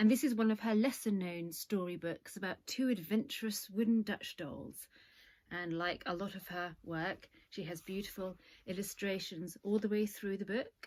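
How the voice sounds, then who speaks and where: A woman's medium-pitched voice in an English accent, at a moderate pace with ordinary pitch variation. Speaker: storyteller. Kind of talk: children's story reading.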